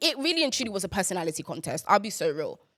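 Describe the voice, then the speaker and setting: An animated woman's voice with very wide pitch swings, on a very clean recording with a silent background. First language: Yoruba. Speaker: podcast host. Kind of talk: casual chat.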